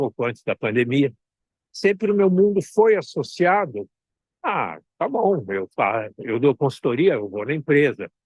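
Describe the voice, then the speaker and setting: The man's fairly high voice moves fairly slowly through very wide pitch swings, recorded in a dry, close sound with no echo. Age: 60s. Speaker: consultant and mentor. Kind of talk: online talk. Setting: outdoors at the beach.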